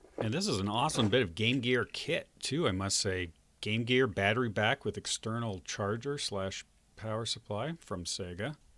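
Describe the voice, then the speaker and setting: A man speaks at a moderate pace with medium pitch and ordinary pitch variation, in a plain, everyday voice. The recording is very clean, with a silent background. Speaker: retro computer repair hobbyist and YouTuber. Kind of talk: casual talk to camera while working at a bench.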